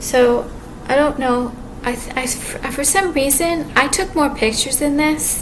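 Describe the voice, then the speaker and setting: A soft-spoken woman with lively intonation is heard through audible room echo and noticeable background noise. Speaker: vlogger. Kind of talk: personal video monologue. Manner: halting.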